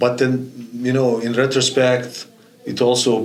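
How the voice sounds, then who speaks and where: Noticeable background noise and audible room echo accompany a man as he talks. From former Yugoslavia. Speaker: college soccer coach. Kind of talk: podcast interview. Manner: halting, many fillers and repetitions.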